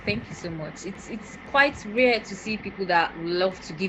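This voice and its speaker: A woman's lively intonation carries at a medium tempo through noticeable background noise. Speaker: interviewer. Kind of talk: interview. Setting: video call.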